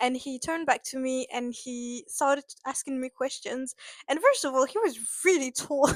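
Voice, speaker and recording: Someone with a French accent speaks at a moderate pace with ordinary pitch variation and big swings in loudness, the sound dry and close with no echo. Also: woman, high pitch for a woman. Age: 20s. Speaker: vlogger. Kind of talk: casual storytelling vlog. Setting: at home in apartment. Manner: hesitant, many fillers.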